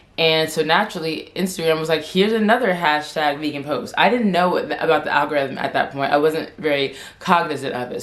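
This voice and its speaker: Amid noticeable background noise and audible room echo, a woman with a fairly low pitch speaks at a fairly quick pace. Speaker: vlogger. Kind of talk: casual chat. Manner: stuttering.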